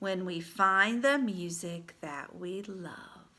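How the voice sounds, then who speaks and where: Putting on a character voice, a woman talks at a very slow pace with a medium pitch and ordinary pitch variation. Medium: read story.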